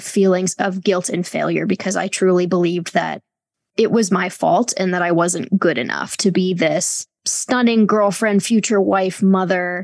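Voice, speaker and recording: A woman at medium pitch speaks at a moderate pace with fairly even intonation in an ordinary speaking voice. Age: 30s. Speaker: author and sex and culture critic. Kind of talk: casual interview conversation.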